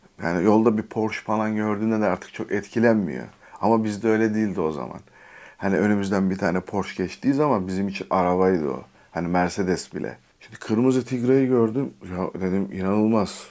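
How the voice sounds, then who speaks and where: Fairly quick in pace, this man talks. His pitch sits fairly low. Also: ordinary pitch variation. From Turkey, Istanbul. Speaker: YouTuber. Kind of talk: storytelling vlog. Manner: casual, with filler hesitations.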